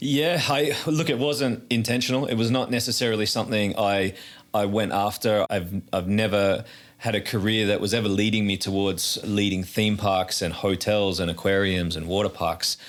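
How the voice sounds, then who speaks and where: Speaking with an Australian accent, a man uses a fairly low pitch, ordinary pitch variation and a moderate pace. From Australia, north of Sydney. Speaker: theme park president. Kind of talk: interview. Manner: repeats words often.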